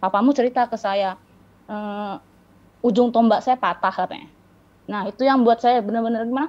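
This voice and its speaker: Fairly even intonation from a woman at a fairly quick pace. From Riau, Sumatra, Indonesia. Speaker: para-badminton athlete; guest. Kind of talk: interview. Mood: calm, reflective storytelling. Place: home room. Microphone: video call.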